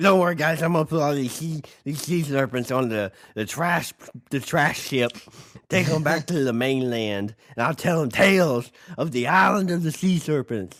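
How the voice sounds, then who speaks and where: In a put-on character voice, a man with a fairly high pitch sounds strained yet cheerful at a moderate pace. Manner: dim-witted, cheerful.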